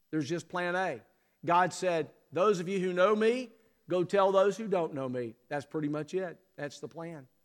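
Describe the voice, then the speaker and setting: With an Alabama accent, a man talks in a fairly high pitch with lively intonation. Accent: US Southern (Alabama). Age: 60s. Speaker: Baptist convention executive and preacher. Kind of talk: sermon. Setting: church.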